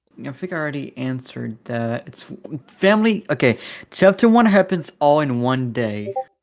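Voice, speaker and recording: A man speaks at a fairly high pitch, his voice swinging very widely in pitch and heavily in loudness. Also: moderate pace. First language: French. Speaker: animation co-creator answering fan questions. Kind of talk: livestream Q&A.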